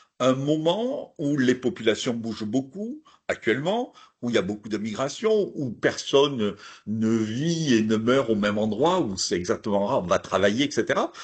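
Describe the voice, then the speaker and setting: A man of medium pitch with a southern French accent and lively intonation, at a moderate pace against a quiet background. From southern France, Hérault area. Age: old. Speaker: archaeologist. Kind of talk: lecture. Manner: hesitant, many fillers.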